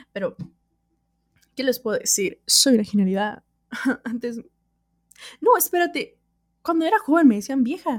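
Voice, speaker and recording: A high-pitched woman with very wide pitch swings and long, frequent pauses. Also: moderate pace. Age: 20s. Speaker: podcaster. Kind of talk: casual solo monologue. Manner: animated.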